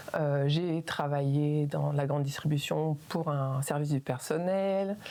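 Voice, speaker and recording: A woman's voice with ordinary pitch variation. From northern France, Calais (Pas-de-Calais). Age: 40s. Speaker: PBA practitioner. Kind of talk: casual interview. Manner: hesitant, many fillers.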